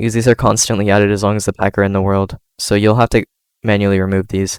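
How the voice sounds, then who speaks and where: A man talks very fast in a fairly low, flat monotone. The sound is dry and close, with no echo. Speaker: Minecraft content creator. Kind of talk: tutorial. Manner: casual, hesitant.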